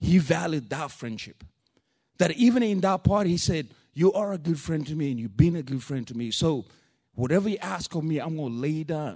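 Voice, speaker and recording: In a strong non-native accent, a man talks at a moderate pace with a fairly high pitch, lively intonation and an animated tone. The background is quiet. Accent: thick non-native. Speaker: preacher. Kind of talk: sermon. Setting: church. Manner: animated, informal.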